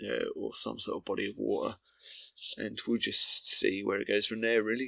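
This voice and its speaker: A man talks at a moderate pace in a British accent. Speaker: gaming commentator. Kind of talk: gameplay commentary. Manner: droning, monotone.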